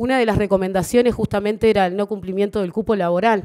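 This woman's tone is dark and mellow, with fairly even intonation. The background is quiet. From Uruguay. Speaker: government official. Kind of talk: formal speech. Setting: stage with audience. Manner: halting. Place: hall. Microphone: podium.

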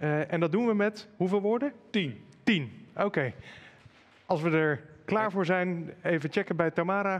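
A man speaks with a high pitch and ordinary pitch variation. His pace is fairly slow. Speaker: event moderator. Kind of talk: moderated panel conversation. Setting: live stream with chat. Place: studio. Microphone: headset.

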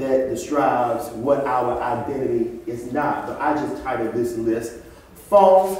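Strong room echo fills the recording. A man speaks at a fairly slow pace. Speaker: preacher. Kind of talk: sermon. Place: church. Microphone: camera far.

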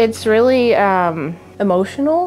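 Clear music is playing in the background. Over it, a woman talks. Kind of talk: interview answer. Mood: emotional, grateful. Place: home room. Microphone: lapel.

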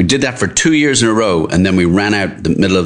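A man speaks with an Irish accent over noticeable background noise. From Ireland, Dublin. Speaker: restaurant co-owner. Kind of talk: casual interview. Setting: restaurant.

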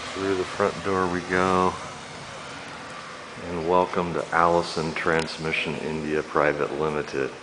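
Amid noticeable background noise, a man with a very deep, low voice speaks at a fairly slow pace with monotone, flat intonation. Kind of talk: casual tour commentary. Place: office. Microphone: phone near.

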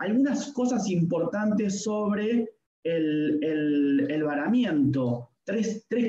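Audible room echo surrounds a man whose pitch swings very widely. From Argentina, Buenos Aires coast; Argentina. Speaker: veterinarian and lecturer; lecturer. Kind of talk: lecture. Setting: video call. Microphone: video call.

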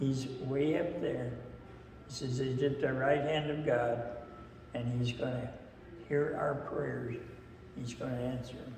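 In a room with audible echo and light background noise, a man speaks monotonously with flat intonation at a fairly slow pace, leaving long, frequent pauses. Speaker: lay preacher. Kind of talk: sermon. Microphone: camera far.

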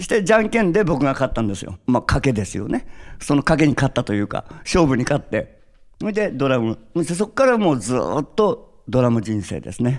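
A man moves at a fairly quick pace through very wide pitch swings, the background around him quiet. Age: 60s. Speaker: drummer; interviewee. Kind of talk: interview; interview answer. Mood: cheerful, reflective. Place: stage. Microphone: handheld.

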